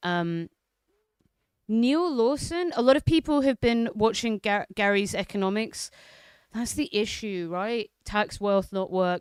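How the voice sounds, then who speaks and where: A woman with lively intonation at a fairly slow pace, on a very clean recording with a silent background. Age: 30s. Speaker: political livestreamer. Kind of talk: casual livestream chat reading viewer comments. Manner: loud; casual, hesitant with fillers.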